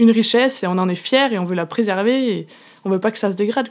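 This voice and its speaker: This woman speaks in a medium pitch with an Auvergne accent. Her pace is very fast. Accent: rural Auvergne. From Auvergne, Cantal. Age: young. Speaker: dairy farmer. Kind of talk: interview answer. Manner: enthusiastic, convinced.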